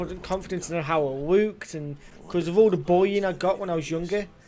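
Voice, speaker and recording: This man has a high pitch and a British accent. His pace is fairly quick. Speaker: gaming streamer. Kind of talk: casual live-stream chat while gaming. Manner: halting.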